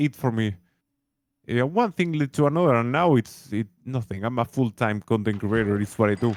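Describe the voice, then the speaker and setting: The speaker has a Spanish accent, a moderate pace and ordinary pitch variation. The recording is very clean, with a silent background and a dry, close sound with no echo. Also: man, medium pitch for a man. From Uruguay. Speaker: streamer and content creator. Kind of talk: casual interview chat. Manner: halting.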